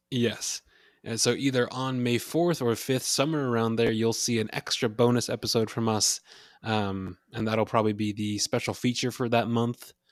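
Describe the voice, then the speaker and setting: A man talks in an ordinary speaking voice at medium pitch. His intonation is fairly even, and the sound is dry and close with no echo. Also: moderate pace. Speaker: podcast co-host. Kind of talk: casual chat.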